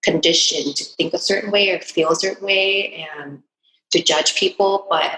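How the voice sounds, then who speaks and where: A woman speaks with a Californian accent. Her pace is fairly slow. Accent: Californian American English. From Southern California, Huntington Beach (moved from Vietnam at age seven). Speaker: entrepreneur. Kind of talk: interview. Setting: podcast interview. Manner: halting, with many fillers.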